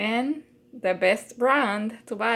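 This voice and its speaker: A woman is speaking. She has a Puerto Rican accent. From Puerto Rico. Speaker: home cook. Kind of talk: cooking tutorial. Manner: casual, hesitant with fillers.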